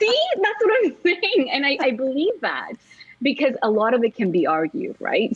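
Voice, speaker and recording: At a moderate pace, a woman with a high pitch makes very wide pitch swings over noticeable background noise. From Sweden, Indian parents. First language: Swedish. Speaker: journalist and communications consultant. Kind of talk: interview conversation.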